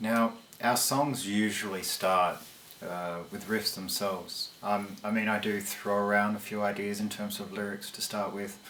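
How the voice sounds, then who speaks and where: A man with a fairly low pitch, monotone, flat intonation and a fairly slow pace, over noticeable background noise. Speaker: metal band vocalist answering fan questions. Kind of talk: monologue answering fan questions. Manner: halting, many fillers.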